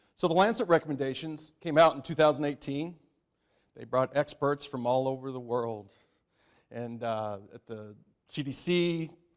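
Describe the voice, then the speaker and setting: At a moderate pace, a man talks with ordinary pitch variation and big swings in loudness. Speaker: pediatric gastroenterologist. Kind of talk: conference talk. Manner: animated.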